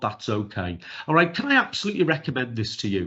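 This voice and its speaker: A man with a Liverpool accent speaks at a fairly quick pace. His pitch swings very widely. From northern England, Liverpool. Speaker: neurodiversity trainer. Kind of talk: webinar presentation. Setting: video call. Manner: fast.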